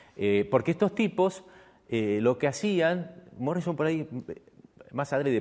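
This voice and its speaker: A fairly high-pitched male voice comes through. The intonation is lively. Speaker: stage and screen actor. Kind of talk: talk to an audience. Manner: halting.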